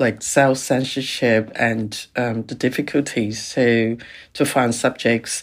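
At a very slow pace, a woman speaks. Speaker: documentary filmmaker. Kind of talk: panel discussion. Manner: halting.

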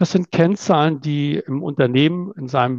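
In an ordinary speaking voice, a man with a fairly high pitch and lively intonation talks at a moderate pace, the sound dry and close with no echo against a quiet background. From northern Germany (Itzehoe, near Bremen). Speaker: manager. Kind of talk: interview.

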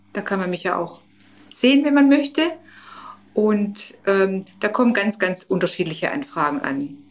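At a fairly slow pace, a woman speaks at a medium pitch with very wide pitch swings. Long pauses come often. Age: 50s. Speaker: stoma nurse. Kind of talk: interview.

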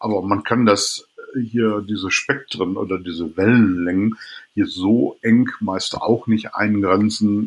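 The pace here is very slow. A man speaks with fairly even intonation. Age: 50s. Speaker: dermatologist. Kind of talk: interview.

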